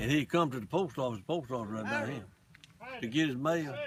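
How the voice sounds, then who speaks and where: A man with an Alabama accent, fairly quick in pace, with ordinary pitch variation. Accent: Southern US (Alabama). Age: 80s+. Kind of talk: interview answer.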